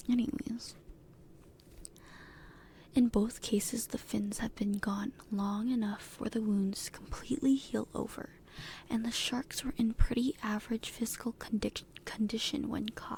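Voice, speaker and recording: Fairly even intonation and a fairly slow pace in an ordinary speaking voice. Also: woman, fairly high pitch for a woman. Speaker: ASMR content creator. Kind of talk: reading shark facts aloud from a text.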